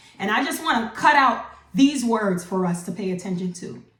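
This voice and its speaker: With a bright, sharp tone and lively intonation, a woman speaks in an animated way at a fairly slow pace amid audible room echo. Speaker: online Bible teacher. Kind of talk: devotional teaching.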